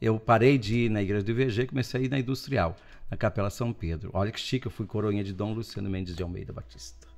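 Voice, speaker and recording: A man at a very fast pace, fairly low in pitch with ordinary pitch variation, faint music in the background. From Brazil, interior of São Paulo state. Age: 60s. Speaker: guest priest. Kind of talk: casual chat. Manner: animated. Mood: warm, humorous. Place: studio. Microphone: studio mic.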